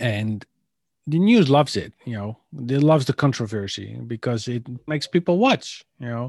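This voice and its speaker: Against a quiet background, a man with a Dutch accent speaks at a moderate pace and medium pitch, with ordinary pitch variation. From Netherlands. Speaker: podcast co-host. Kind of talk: casual chat.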